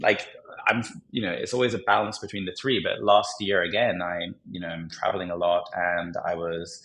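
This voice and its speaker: A man with a very deep, low pitch and a British accent at a moderate pace. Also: ordinary pitch variation. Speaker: entrepreneur. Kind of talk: podcast interview.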